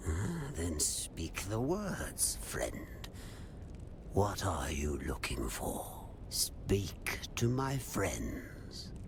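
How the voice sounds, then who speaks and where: A man's whispering in a put-on character voice at a very slow pace, over loud background noise. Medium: video game. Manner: cryptic, repetitive.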